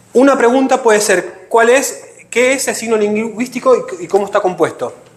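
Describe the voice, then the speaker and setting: In a room with audible echo, a man speaks at an extremely high pitch with ordinary pitch variation. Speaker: teacher. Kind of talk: lecture. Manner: fast.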